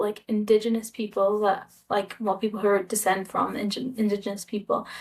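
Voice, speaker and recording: In a very clean recording with a silent background, a woman with a Scottish accent speaks at a moderate pace with a fairly high pitch. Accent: foreign-sounding in Honduras (Scottish). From Scotland. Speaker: vlogger living abroad. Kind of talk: casual vlog monologue. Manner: hesitant, many fillers.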